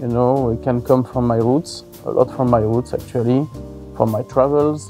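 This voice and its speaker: With a French accent, a man talks at a moderate pace with ordinary pitch variation, his voice dry with no echo and faint music behind it. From Savoie, French Alps, France. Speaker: head chef. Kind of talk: interview answer. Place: hall.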